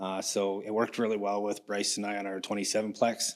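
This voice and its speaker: A man with a Canadian accent mumbles at a fairly quick pace in a fairly low voice, his intonation monotone and flat. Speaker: builder pitching a deal to investors. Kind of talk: pitch presentation. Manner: mumbling; halting with fillers.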